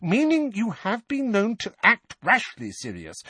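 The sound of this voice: Using a put-on character voice, a man speaks at a fairly slow pace in a high pitch with very wide pitch swings, a bright, sharp tone, a slightly husky edge and a dry, close sound with no echo.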